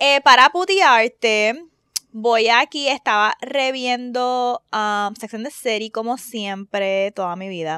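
Very slowly, a woman with a fairly high pitch speaks in big swings of loudness, the sound dry and close with no echo. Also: lively intonation. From Caribbean. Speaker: podcast host. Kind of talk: casual chat.

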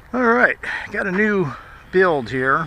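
Dry, echo-free sound of a man, with light background noise. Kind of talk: casual vlog chat. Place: open country. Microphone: phone near.

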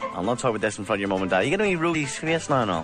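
Clear music plays in the background. A man speaks with a dry sound and no echo. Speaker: radio DJ. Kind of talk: radio DJ links. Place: studio.

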